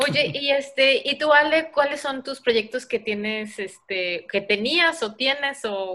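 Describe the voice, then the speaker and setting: Her tone bright and sharp, a woman speaks at a very slow pace with ordinary pitch variation, on a very clean recording with a silent background. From Mexico. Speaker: podcast host. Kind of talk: casual chat.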